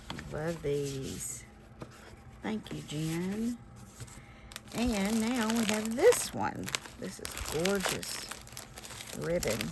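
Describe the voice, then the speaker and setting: With audible room echo and noticeable background noise, a woman of medium pitch speaks very slowly, her pitch swinging very widely between long, frequent pauses. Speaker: crafting youtuber. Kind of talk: casual chat. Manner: animated.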